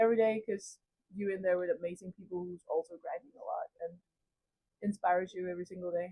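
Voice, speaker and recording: Her voice is dark and mellow at a medium pitch, with monotone, flat intonation and a dry, close sound with no echo. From Cameroon and Denmark. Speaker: college volleyball player. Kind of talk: interview. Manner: casual, hesitant with fillers.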